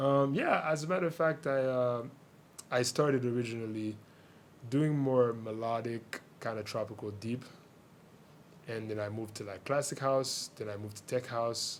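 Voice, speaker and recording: A man talks at a moderate pace and medium pitch with ordinary pitch variation and long, frequent pauses. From Haiti (Port-au-Prince). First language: Haitian Creole. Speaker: DJ and music producer. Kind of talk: radio interview. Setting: radio studio.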